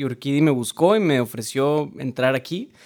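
Fairly high-pitched for a man, his voice has ordinary pitch variation at a moderate pace. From Mexico, Monterrey, Nuevo León. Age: 20s. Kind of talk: casual interview chat.

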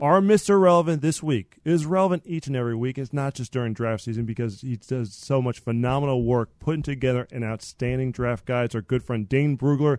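An ordinary speaking voice, a man's at medium pitch with ordinary pitch variation, moves at a fairly quick pace with hardly any pauses in a dry, close sound with no echo. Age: 30s. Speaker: podcast host. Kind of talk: casual chat.

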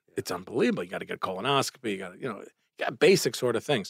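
A man with a Brooklyn accent talks at a very fast pace with lively intonation, his voice dry and close with no echo. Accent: New York (Brooklyn). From Brooklyn, New York. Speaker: urologist. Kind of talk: casual interview chat. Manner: animated.

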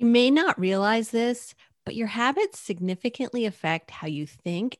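Her voice is a plain, everyday voice, fairly high for a woman, with lively intonation at a fairly slow pace. The sound is dry and close with no echo, over a quiet background. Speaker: content marketing coach. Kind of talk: casual podcast chat.

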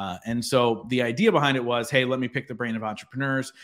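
A man with an American accent speaks fairly quickly at medium pitch with ordinary pitch variation. The recording is very clean, with a silent background. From Philadelphia area, US. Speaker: podcaster and business coach. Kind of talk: interview. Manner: animated.

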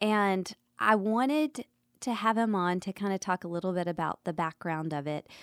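With lively intonation and a medium pitch, a woman talks at a moderate pace in a normal speaking voice, the recording very clean with a silent background and a dry, close sound with no echo. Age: 30s. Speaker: podcast host. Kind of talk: podcast monologue; casual chat.

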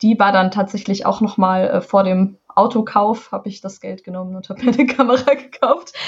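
A somewhat breathy female voice at medium pitch, with ordinary pitch variation and a moderate pace. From Hessen, Taunus. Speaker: musician. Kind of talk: casual interview.

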